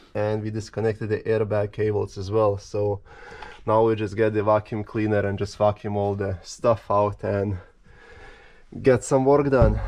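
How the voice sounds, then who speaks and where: With a Lithuanian accent, a man talks at a moderate pace in a fairly low pitch, his intonation monotone and flat. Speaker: car restorer. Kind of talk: casual talk to camera.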